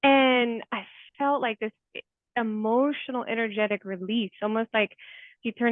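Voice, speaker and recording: A woman's fairly high voice, a normal speaking voice, at a moderate pace. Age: 40s. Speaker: therapist. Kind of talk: interview, personal storytelling. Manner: casual, conversational.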